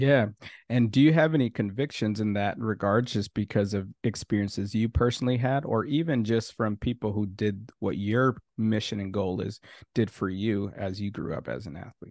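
In a dry, close recording with no echo and a quiet background, a man with a plain, everyday voice and an American accent speaks at a moderate pace, fairly low in pitch with ordinary pitch variation. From Minnesota. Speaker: podcast host. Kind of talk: interview.

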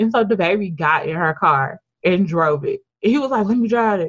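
With lively intonation and a somewhat breathy sound, a woman talks at a fairly quick pace. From US South, Memphis, Tennessee. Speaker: podcast co-host. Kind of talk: casual chat. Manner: animated.

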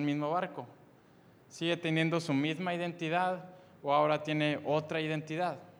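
A man speaks at a moderate pace in a fairly high voice with monotone, flat intonation. The room adds audible echo. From Mexico, Monterrey, Nuevo León. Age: 20s. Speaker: youth preacher. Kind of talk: sermon. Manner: halting, frequent repetitions.

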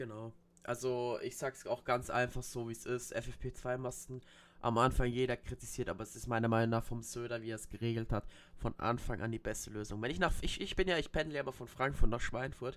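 A man's ordinary speaking voice, medium in pitch, at a fairly quick pace with fairly even intonation. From Bavaria, Germany. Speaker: podcast host. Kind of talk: casual chat.

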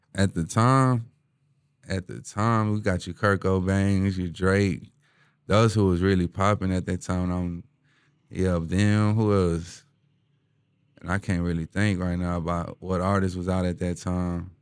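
Someone with a Houston accent speaks at a fairly slow pace, leaving long, frequent pauses. The intonation stays fairly even. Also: man, very deep, low pitch for a man. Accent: Houston Texas urban. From Houston, Texas (east side, Denver Harbor). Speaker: rapper. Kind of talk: casual chat. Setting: studio.

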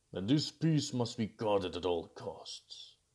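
The pace is fairly slow. A man uses a put-on character voice pitched in the medium range. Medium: read story. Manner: dignified, measured.

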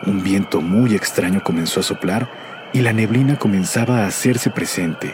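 At a moderate pace and with ordinary pitch variation, the talking carries on through noticeable background noise. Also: man. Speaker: radio announcer narrating a legend. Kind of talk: scripted ghost story narration.

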